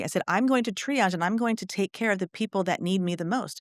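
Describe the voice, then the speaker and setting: Recorded very cleanly with a silent background and a dry, close sound without echo, a woman talks at a medium pitch with ordinary pitch variation. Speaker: kindergarten teacher and union president. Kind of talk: casual interview conversation. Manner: loud; animated.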